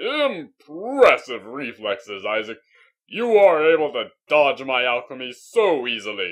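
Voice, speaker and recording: A fairly slow, fairly high-pitched put-on character voice from a man. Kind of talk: character audition reel. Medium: voice reel. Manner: grandiose, theatrical.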